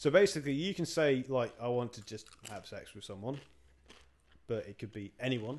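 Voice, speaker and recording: Ordinary pitch variation from a male speaker with an English accent. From England. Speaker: podcast co-host. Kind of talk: casual chat. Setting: home recording.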